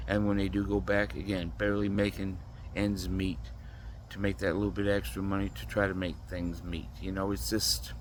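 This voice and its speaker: A man with a very deep, low pitch and vocal fry talks at a moderate pace with lively intonation and audible room echo. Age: 60s. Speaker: vlogger. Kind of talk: casual monologue.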